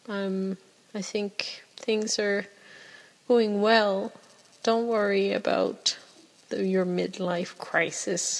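A woman talks with a French accent. Her pace is very slow. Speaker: podcast host. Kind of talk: casual solo monologue podcast. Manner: filler words, self-conscious.

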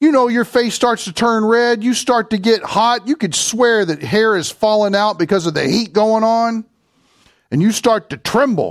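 A man with a Kentucky accent, high in pitch with ordinary pitch variation, at a moderate pace on a very clean recording with a silent background. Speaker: preacher. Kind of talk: sermon.

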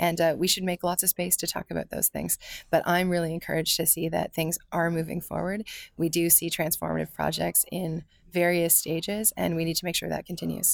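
Recorded very cleanly against a silent background, a woman speaks at a fairly quick pace with a dry, close sound and no echo. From London, Ontario, Canada. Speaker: political candidate and former city official. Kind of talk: interview.

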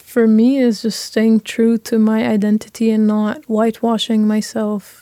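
Dry and close with no echo, a woman's fairly high voice with a dark, mellow tone comes at a moderate pace in a Lebanese accent. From Lebanon. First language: Arabic. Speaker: university student. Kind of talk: panel discussion.

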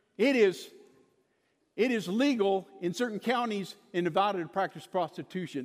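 Speech moves at a moderate pace. It carries an American accent. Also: man. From Kansas. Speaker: preacher. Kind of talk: sermon. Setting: church.

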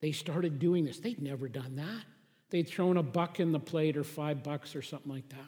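The speech comes at a moderate pace. Its tone is somewhat breathy, and the pitch varies in an ordinary way. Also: man, fairly high pitch for a man. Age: 50s. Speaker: pastor. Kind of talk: sermon.

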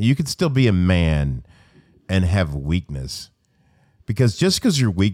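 A man's very deep, low voice with an American accent and a dark, mellow tone in a very clean recording with a silent background. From US South, Arkansas. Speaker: podcast host. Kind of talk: casual chat.

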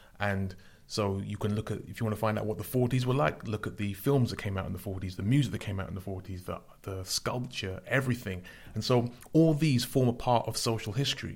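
Somewhat breathy, a man speaks at a very fast pace with ordinary pitch variation. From London. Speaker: spoken word artist. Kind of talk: interview. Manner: halting.

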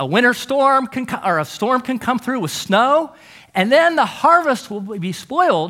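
Raising and projecting his voice, a man speaks at an extremely high pitch with a bright, sharp tone. His pitch swings very widely and his pace is fairly slow. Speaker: guest preacher. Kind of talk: sermon.

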